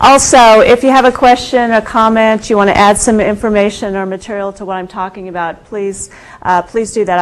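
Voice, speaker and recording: Medium pitch from a woman, moderate tempo, ordinary pitch variation. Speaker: environmental consultant and researcher. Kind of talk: lecture. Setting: university seminar room with audience. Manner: hesitant, many fillers.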